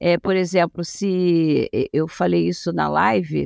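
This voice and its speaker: A woman's voice, dry and close with no echo, moves at a very slow pace. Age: 60s. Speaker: gerontologist and family caregiver. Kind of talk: interview.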